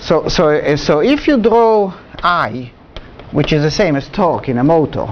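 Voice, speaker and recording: Noticeable background noise and audible room echo behind a moderate pace and lively intonation. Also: man, fairly high pitch for a man. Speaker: university lecturer. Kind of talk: lecture. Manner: halting.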